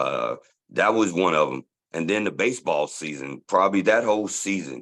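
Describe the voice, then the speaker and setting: Pitched fairly low, a man speaks at a moderate pace with vocal fry and lively intonation. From Dallas, Texas (born in Tulsa, moved at about age 11). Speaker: sports superfan. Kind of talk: casual interview chat. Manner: loud.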